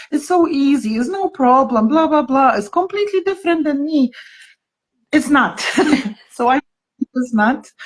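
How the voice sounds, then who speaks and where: In a Polish accent, a woman speaks with very wide pitch swings. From Poland. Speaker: therapist. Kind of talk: casual chat. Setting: Instagram live video call.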